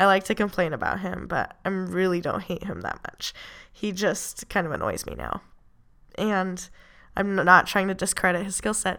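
With vocal fry and flat, monotone intonation, a woman speaks at a medium pitch and a moderate pace. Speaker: MMA podcast host. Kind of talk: solo podcast monologue. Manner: casual, frequent laughs.

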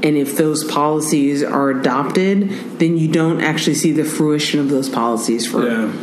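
A woman with a Northern California accent, a very deep, low pitch, ordinary pitch variation, very even loudness and a moderate pace, amid noticeable background noise and audible room echo. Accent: Northern California American English. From Oakland, California. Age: 40s. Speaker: bike tour entrepreneur and former educator. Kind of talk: casual interview. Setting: in person in Oakland. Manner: animated.

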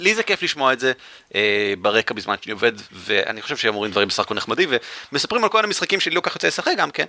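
A man talks very fast at a medium pitch, his bright, sharp tone swinging very widely in pitch, in a dry, close sound with no echo. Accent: Israeli. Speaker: podcast host. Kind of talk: casual chat.

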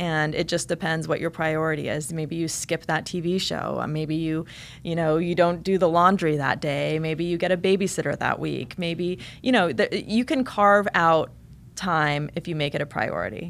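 A woman speaks in a plain, everyday voice with a General American accent, at a fairly low pitch, moderate pace and ordinary pitch variation. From rural eastern Oregon, US. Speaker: TV news anchor. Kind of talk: interview. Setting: studio.

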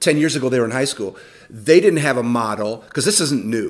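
A man with a plain, everyday voice speaks at a fairly high pitch with ordinary pitch variation, on a very clean recording with a silent background. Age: 50s. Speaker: youth ministry leader. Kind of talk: interview.

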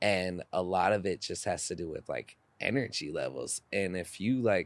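This is a normal speaking voice at a moderate pace with ordinary pitch variation, recorded very cleanly against a silent background. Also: man. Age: 20s. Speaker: athletic trainer. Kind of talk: casual chat.

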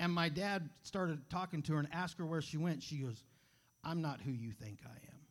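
In a normal speaking voice, a man talks at a fairly quick pace and fairly high pitch with ordinary pitch variation, over a very clean recording with a silent background. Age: 40s. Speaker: preacher. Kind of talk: sermon. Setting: church.

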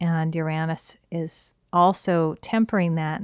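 A woman with a plain, everyday voice talks with fairly even intonation. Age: 40s. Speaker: astrology podcaster. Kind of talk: solo podcast talk.

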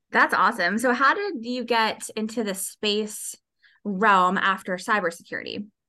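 A woman speaks at a moderate pace in an ordinary speaking voice, fairly high in pitch with ordinary pitch variation. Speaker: podcast host. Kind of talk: interview. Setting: studio.

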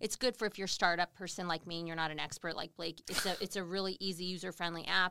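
With a bright, sharp tone and fairly low pitch, a woman speaks at a very fast pace with hardly any pauses and fairly even intonation in a dry, close sound with no echo. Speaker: morning TV news host. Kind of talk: casual interview chat. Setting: livestreamed on social media.

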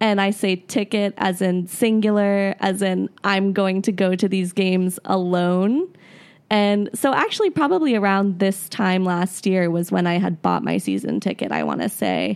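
A woman speaks at a medium pitch in a plain, everyday voice, with an American accent. Her intonation is fairly even and her loudness very even, on a very clean recording with a silent background. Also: moderate pace. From Florida. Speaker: soccer supporter. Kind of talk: casual chat.

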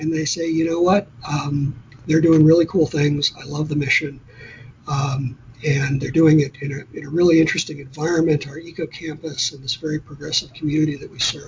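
Over noticeable background noise, a man with a fairly high pitch speaks at a moderate pace, his intonation fairly even but his loudness showing big swings. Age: 50s. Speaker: utility executive. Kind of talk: interview. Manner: halting, many fillers.

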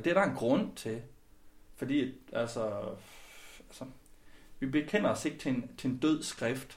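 Speech comes at a fairly slow pace, with audible room echo around it. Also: man. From West Jutland, Denmark (Skjern area). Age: 30s. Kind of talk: interview.

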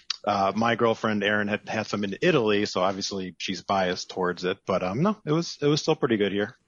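Speaking at a fairly quick pace, an unremarkable speaking voice shows ordinary pitch variation. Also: man. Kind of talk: casual chat.

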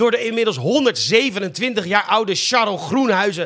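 Noticeable background noise sits behind a man with a high-pitched voice. He speaks at a moderate pace, his pitch varying in an ordinary way. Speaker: podcast host, comedic news presenter. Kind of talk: satirical news monologue.

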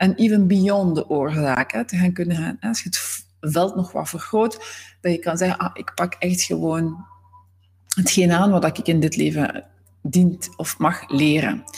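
An ordinary speaking voice from a woman, fairly low in pitch with ordinary variation, at a fairly slow pace. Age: 40s. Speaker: systemic coach. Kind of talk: podcast monologue.

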